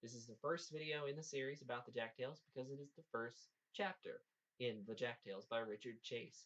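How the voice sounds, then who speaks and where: A man's unremarkable speaking voice at a medium pitch and fairly quick pace, with ordinary pitch variation and big swings in loudness. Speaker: audiobook reader. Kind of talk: casual talk to camera.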